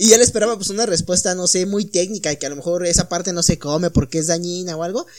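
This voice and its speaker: A man with a Mexican accent at a very fast pace and high pitch, with ordinary pitch variation and hardly any pauses. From Mexico. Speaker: podcast host. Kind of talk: casual chat. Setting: home studio.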